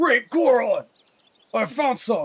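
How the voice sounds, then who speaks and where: Pitched extremely high, a man puts on a character voice. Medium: game stream. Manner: excitable.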